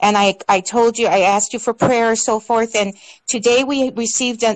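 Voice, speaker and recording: A woman speaks in a normal speaking voice at a fairly high pitch. Her intonation is fairly even, and the background is quiet. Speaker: caller. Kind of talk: call-in testimony. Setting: online call.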